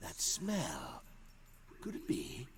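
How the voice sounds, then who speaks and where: Over clear background noise, a man does a put-on character voice pitched high. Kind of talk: royal "one" speech. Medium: video game. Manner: pompous, imperious.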